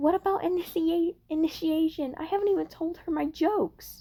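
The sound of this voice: An extremely high, whiny put-on character voice at a moderate pace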